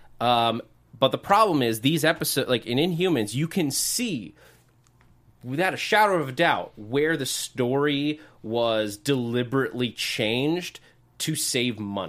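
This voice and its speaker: A man's normal speaking voice at a fairly slow pace, medium in pitch with lively intonation, on a very clean recording with a silent background. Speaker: co-host. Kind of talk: casual chat.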